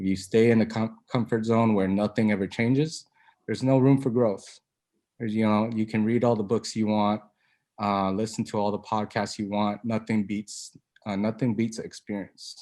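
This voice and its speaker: A soft-spoken, dark, mellow voice moves at a moderate pace with monotone, flat intonation. The background is quiet. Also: man, fairly low pitch for a man. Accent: American. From Arizona, US. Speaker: investment group member. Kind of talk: testimony. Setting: video call. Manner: halting.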